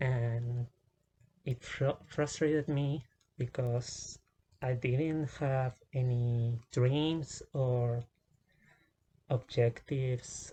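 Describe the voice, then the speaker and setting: A man's somewhat breathy, dark and mellow voice at medium pitch, with fairly even intonation. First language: not English. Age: 20s. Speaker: vlogger. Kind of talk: personal testimony vlog. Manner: halting, many fillers and restarts.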